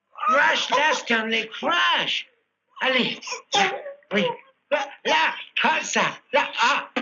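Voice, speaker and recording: A high, put-on character voice speaks at a very slow pace. Long pauses come frequently. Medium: short film. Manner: bossy, exasperated.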